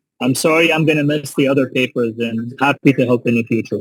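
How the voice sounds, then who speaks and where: Speaking fairly quickly, a man with a fairly high pitch holds a fairly even intonation. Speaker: surgeon, professor. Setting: airport gate, on a call. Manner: loud.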